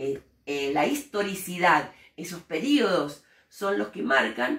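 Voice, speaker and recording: A woman's fairly low voice at a very slow pace, with very wide pitch swings and big swings in loudness. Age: 60s. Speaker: teacher and human rights activist. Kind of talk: interview. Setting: school interview by students.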